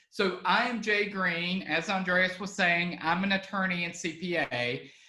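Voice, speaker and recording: In a Southern US accent, a raised, projected voice moves at a fairly slow pace with fairly even intonation and audible room echo. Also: man, high pitch for a man. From Alabama. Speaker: estate planning attorney. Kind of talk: online webinar presentation. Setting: online video webinar. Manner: casual with frequent fillers.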